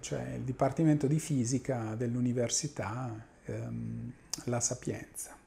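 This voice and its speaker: Somewhat breathy, with a dark, mellow tone, a man talks at a fairly slow pace. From central Italy, Urbino area; Italy. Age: 50s. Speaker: mathematical physics professor; professor of mathematical physics. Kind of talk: interview monologue. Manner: halting, many fillers. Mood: calm, reminiscing. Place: office. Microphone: lapel.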